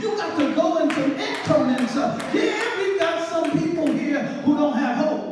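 A man at an extremely high pitch and a moderate pace, with ordinary pitch variation, noticeable background noise and strong room echo. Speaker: preacher. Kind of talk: sermon delivered to a congregation. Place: church. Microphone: camera far.

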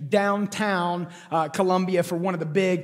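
Music plays behind a man with a high pitch. His intonation is fairly even. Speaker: pastor. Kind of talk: sermon. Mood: playful, joking. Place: stage. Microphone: headset.

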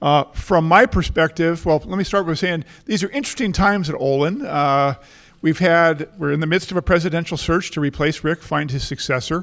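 A high-pitched man speaks at a fairly quick pace over a quiet background. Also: ordinary pitch variation. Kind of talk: welcome speech. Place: hall. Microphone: handheld.

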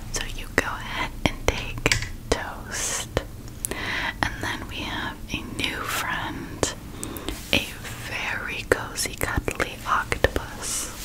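A woman talks at a very slow pace with long, frequent pauses. Loud background noise fills the recording. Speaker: relaxation video host. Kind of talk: soft personal-attention roleplay talk. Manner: soft, gentle ASMR voice. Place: home room.

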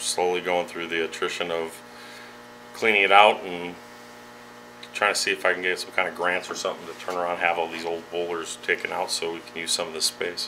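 A man talks at a fairly quick pace with a very deep, low pitch. His intonation is monotone and flat over light background noise. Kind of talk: interview answer. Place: office.

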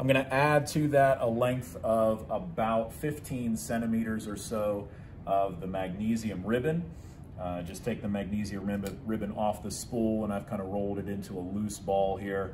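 A man's fairly low voice at a moderate pace with ordinary pitch variation, over noticeable background noise. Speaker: science teacher. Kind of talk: tutorial. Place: classroom. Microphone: phone near.

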